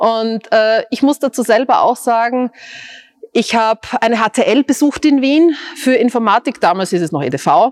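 A woman's fairly high voice with lively intonation and very even loudness, at a fairly slow pace, in a dry, close sound with no echo. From Austria, Styria. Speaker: tech company CEO. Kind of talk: interview.

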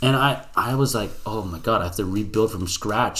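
A man talks in a fairly low pitch with ordinary pitch variation. He has an unremarkable speaking voice. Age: 20s. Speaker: fitness podcast co-host. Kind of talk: casual chat.

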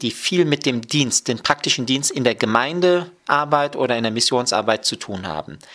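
Moderate pace, ordinary pitch variation, and a bright, sharp tone in a man's medium-pitched voice. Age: 30s. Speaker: Bible college lecturer and dean of students. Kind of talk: radio interview.

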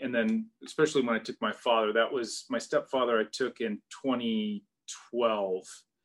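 A man with an American accent speaks in an unremarkable speaking voice at medium pitch, with fairly even intonation and a fairly slow pace. The recording is very clean, with a silent background. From US Pacific Northwest, Seattle area. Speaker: golf travel advisor. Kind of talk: casual chat.

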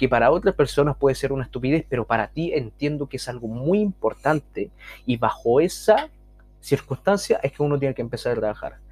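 Fairly quick in pace, a man talks with vocal fry. His pitch is fairly high, with ordinary variation. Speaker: podcast host and social skills coach. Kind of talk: casual monologue.

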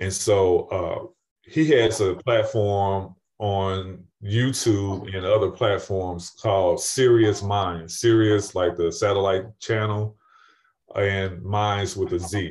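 A fairly low-pitched, somewhat breathy man with an American accent, very slow pace and fairly even intonation, on a very clean recording with a silent background. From St. Louis, Missouri. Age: 50s. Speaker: retired firefighter and paramedic. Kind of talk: interview.

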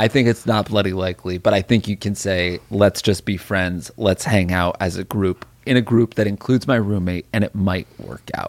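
A man with an unremarkable speaking voice talks at a moderate pace in a fairly low pitch, with fairly even intonation and hardly any pauses, the sound dry and close with no echo. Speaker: podcast host. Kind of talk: casual comedic chat.

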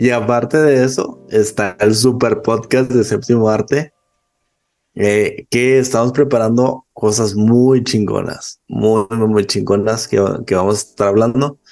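Here is a man with an unremarkable speaking voice at medium pitch. He talks at a fairly slow pace, with fairly even intonation and very even loudness. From Chihuahua, northern Mexico. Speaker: podcaster and film subtitler. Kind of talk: casual chat.

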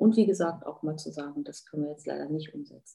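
The woman's voice has a dark, mellow tone. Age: 50s. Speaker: hair and beauty salon owner. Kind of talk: podcast interview.

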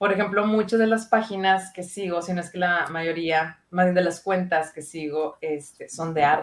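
With a normal speaking voice, a woman speaks at a moderate pace with hardly any pauses, her pitch fairly low and her intonation fairly even, while her loudness swings widely. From Monterrey, northern Mexico. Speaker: psychologist. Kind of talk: casual chat.

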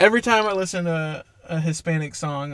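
With an American accent, a man speaks in a high voice. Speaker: podcast co-host. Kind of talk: casual chat.

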